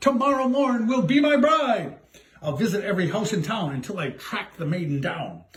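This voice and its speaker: A man uses a put-on character voice with a high pitch. He speaks at a moderate pace. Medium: read story. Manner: shouting.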